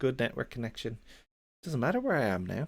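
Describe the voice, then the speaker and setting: The speaker has a slight Irish accent. The recording is very clean, with a silent background. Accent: mild Irish. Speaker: programming livestreamer. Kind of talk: casual live-stream chat. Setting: live stream. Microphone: good audio quality.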